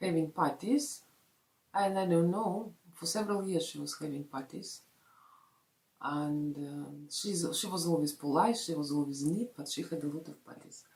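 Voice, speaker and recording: Her voice fairly low, a woman with a Russian accent speaks at a moderate pace with ordinary pitch variation and big swings in loudness. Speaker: vlogger. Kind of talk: casual vlog talk. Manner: halting, many fillers.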